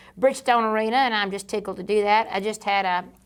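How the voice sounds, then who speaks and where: A woman with a Georgia accent talks at a very fast pace in a medium pitch, on a very clean recording with a silent background. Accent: Southern (Georgia). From US South, Georgia (near Savannah). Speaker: country singer and cooking show host. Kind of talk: interview conversation. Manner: animated.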